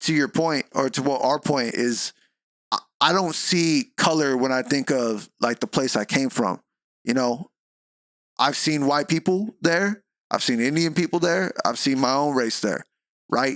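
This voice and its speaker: Fairly slow, animated delivery with lively intonation and very even loudness, the sound dry and close with no echo. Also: man, fairly high pitch for a man. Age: 20s. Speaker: content creator and rapper. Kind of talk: casual interview.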